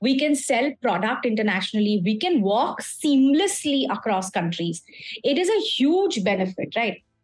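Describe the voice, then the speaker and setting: A woman with an Indian accent speaks at a moderate pace with a fairly high pitch. Her pitch swings very widely while her loudness stays very even. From India, grew up in small towns. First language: Hindi. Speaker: communication skills trainer. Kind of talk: lecture. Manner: code-switching between English and Hindi.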